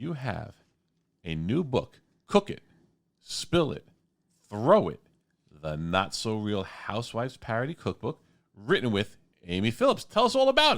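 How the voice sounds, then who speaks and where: With a strong New York accent, a man speaks at a fairly slow pace and medium pitch, using very wide pitch swings, big swings in loudness, and long, frequent pauses on a very clean recording with a silent background. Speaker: radio host. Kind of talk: radio interview. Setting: radio studio.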